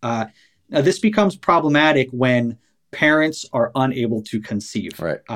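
A man with an American accent and an ordinary speaking voice, medium pitch, ordinary pitch variation, and a quiet background. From New York, US East Coast. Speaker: podcast host, former cult member. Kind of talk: interview.

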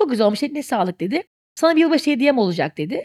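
Very fast speech comes from a woman with a high pitch. The sound is dry and close, with no echo. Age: 40s. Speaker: director and content creator. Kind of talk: casual chat.

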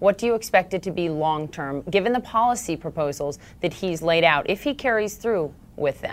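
An unremarkable speaking voice: a woman with fairly low pitch, lively intonation and a moderate pace. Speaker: interviewer. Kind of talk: formal interview.

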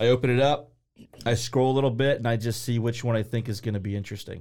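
A man of medium pitch in a Midwestern American accent, flat and monotone, on a very clean recording with a silent background. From Ohio, Columbus. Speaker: small business owner. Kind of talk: casual interview.

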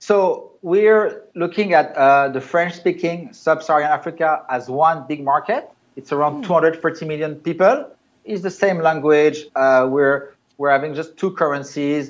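Over a quiet background, a man with a normal speaking voice and fairly high pitch talks at a fairly slow pace with ordinary pitch variation. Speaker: startup co-founder. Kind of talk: business interview.

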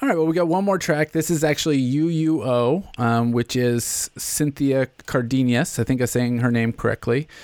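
A man with an American accent and a plain, everyday voice at a moderate pace, ordinary pitch variation, a very clean recording with a silent background, and a dry, close sound with no echo. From US South, Nashville. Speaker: podcast host. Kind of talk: casual interview.

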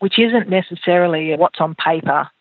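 Her voice sits fairly low for a woman. She talks with an Australian accent. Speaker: farmer and agriculture scholarship leader. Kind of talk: interview conversation.

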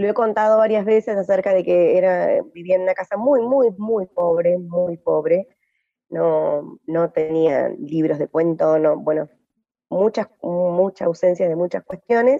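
A woman speaks at a medium pitch and a fairly slow pace. Her pitch varies in an ordinary way. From Argentina, Entre Ríos (Gualeguay). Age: 40s. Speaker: poet and activist. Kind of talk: interview. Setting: radio studio. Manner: halting, with many repetitions and fillers.

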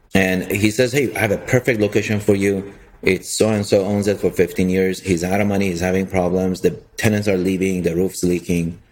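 Speaking with a Persian accent, a man with a fairly low pitch moves at a fairly quick pace with fairly even intonation. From Iran. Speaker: real estate investor. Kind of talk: interview.

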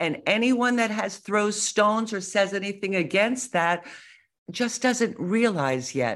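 A woman with an unremarkable speaking voice talks at a fairly slow pace in an American accent, her medium pitch carried by lively intonation. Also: very clean recording, silent background. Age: 60s. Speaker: grandmother and social media influencer. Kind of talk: interview.

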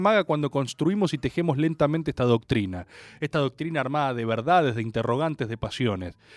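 A man talking at a very fast pace in an animated tone, on a very clean recording with a silent background and a dry, close sound with no echo. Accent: Rioplatense. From Argentina. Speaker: radio host. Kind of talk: casual chat.

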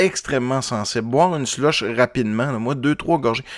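A man talks with a Saguenay–Lac-Saint-Jean accent. The recording is very clean, with a silent background. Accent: Quebec French (Saguenay–Lac-Saint-Jean). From Quebec, Lac-Saint-Jean. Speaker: music podcast host. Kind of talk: casual monologue between music tracks. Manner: halting, many filler words.

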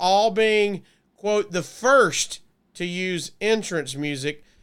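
A man speaks in a Southern US accent at a high pitch. The recording is very clean, with a silent background. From Alabama (Gadsden). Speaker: podcast co-host. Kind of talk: casual chat.

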